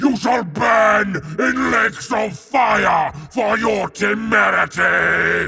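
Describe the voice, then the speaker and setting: In a put-on character voice, a man bellows and shouts in a raspy, high pitch at a very slow pace, with hardly any pauses. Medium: audio drama. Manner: roaring, furious.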